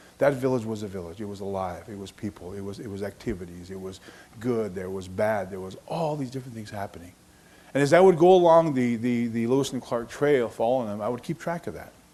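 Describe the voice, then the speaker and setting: Talking at a very fast pace, a man uses lively intonation, and his loudness swings widely. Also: medium pitch for a man. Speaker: retired park service official. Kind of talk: public speech. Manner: halting.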